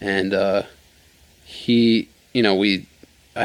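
A man talks with an American accent. His intonation stays fairly even. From New York, Rockland County. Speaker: wakeboarder. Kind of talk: casual chat.

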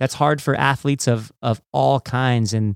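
A man speaks at medium pitch in a normal speaking voice, with ordinary pitch variation. The recording is very clean, with a silent background. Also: dry, close sound with no echo. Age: 40s. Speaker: podcast host and former judo champion. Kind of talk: interview.

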